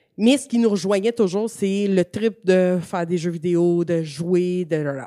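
A dark, mellow tone with ordinary pitch variation, dry and close with no echo. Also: woman, very clean recording, silent background. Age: 30s. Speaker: gaming communications director and streamer. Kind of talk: casual interview.

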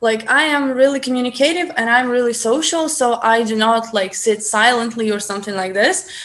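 Fairly quick speech with a Ukrainian accent, hardly any pauses, ordinary pitch variation and noticeable background noise. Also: woman, fairly high pitch for a woman. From Ukraine. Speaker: guest, language enthusiast. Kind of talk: casual interview. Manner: hesitant, many fillers.

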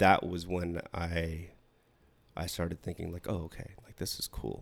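His voice is very deep and low, delivered in a monotone, flat intonation, with big swings in loudness. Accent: Pacific Northwest. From Washington State, small rural town. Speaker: Navy veteran, podcast guest. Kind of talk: casual interview chat.

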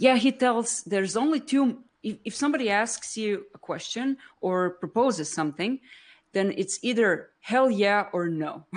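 A woman with a Croatian accent and lively intonation, set against a quiet background. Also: fairly high pitch for a woman, moderate pace. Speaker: B2B marketer and live streamer. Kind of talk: casual interview on a live stream. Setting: online live stream.

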